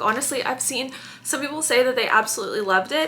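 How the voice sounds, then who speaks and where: A raised, projected voice with lively intonation and an animated tone. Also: woman. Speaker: book vlogger. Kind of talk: casual vlog chat.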